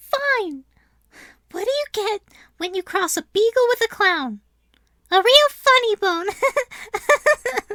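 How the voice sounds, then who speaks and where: In a put-on character voice at an extremely high pitch, the speaker goes at a very slow pace with long, frequent pauses. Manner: frustrated, higher-pitched.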